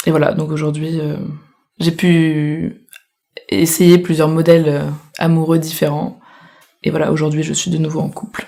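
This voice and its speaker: Very deep and low in pitch, a woman speaks in a monotone, flat intonation at a fairly slow pace. Her pauses are long and frequent. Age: 20s. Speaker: interviewee. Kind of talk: casual chat.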